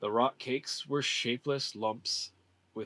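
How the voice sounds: Natural voice, reading.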